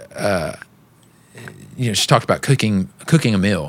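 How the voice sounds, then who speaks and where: The speaker is a man with a Texan accent. His pitch is fairly low. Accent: Texan Southern US. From East Texas. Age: 30s. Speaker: musician. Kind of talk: casual chat.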